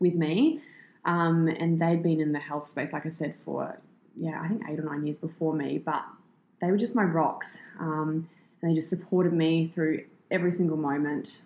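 Speaking at a moderate pace with an Australian accent, the voice shows ordinary pitch variation. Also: woman. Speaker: fitness entrepreneur and personal trainer. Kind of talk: interview, casual chat.

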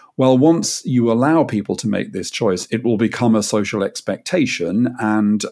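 With a British accent, a man speaks at a moderate pace and medium pitch, his tone dark and mellow and his pitch variation ordinary. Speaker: podcast host. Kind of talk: interview.

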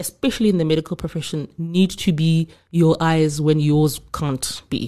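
A woman's fairly low-pitched voice with a dark, mellow tone. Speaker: guest sharing fertility journey. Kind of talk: interview testimony.

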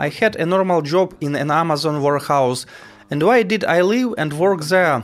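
A man's high voice with a Ukrainian accent, ordinary pitch variation and a moderate pace. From Ukraine, Poltava region. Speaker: soldier. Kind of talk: testimony.

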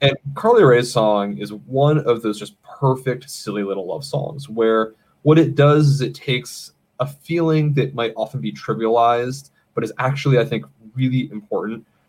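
A man with an American accent and a plain, everyday voice, at a moderate pace with ordinary pitch variation. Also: medium pitch for a man. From Maine, US. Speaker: podcast producer and guest. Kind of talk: casual chat. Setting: home studio.

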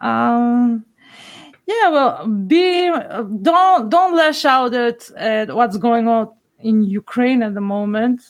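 A woman's high voice with a Macedonian accent and lively intonation, at a very slow pace. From North Macedonia. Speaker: podcast listener. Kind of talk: casual interview conversation.

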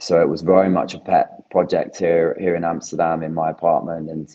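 A man with a British accent talks in a very deep, low pitch with monotone, flat intonation. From UK. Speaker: plant-based cheese company founder. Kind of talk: interview.

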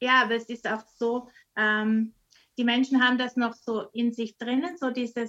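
Her tone is bright and sharp. A woman talks at a high pitch and a fairly slow pace. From Austria. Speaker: missionary. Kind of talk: casual chat. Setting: video call.

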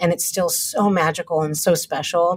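Over music in the background, a woman talks at a fairly quick pace in an American accent. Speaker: TV writer and director. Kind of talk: casual interview conversation. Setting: video call.

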